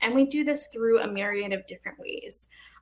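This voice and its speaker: Fairly high-pitched female voice, its pitch moving in an ordinary way. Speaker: nonprofit program manager. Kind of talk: panel presentation. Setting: virtual panel with interpreters. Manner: fast.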